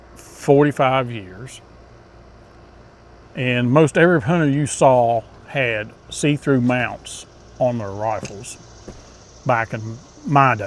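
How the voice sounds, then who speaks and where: The speech moves at a very slow pace with long, frequent pauses, big swings in loudness and ordinary pitch variation. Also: man, medium pitch for a man. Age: 60s. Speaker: hunting channel host. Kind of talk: casual talk to camera. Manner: conversational with fillers.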